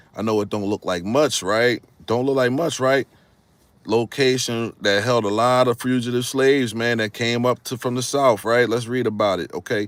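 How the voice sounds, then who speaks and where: In a very clean recording with a silent background, a man with a northern US accent talks at a moderate pace and medium pitch. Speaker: history YouTuber. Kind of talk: casual live stream talk. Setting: live stream with green screen. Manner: animated.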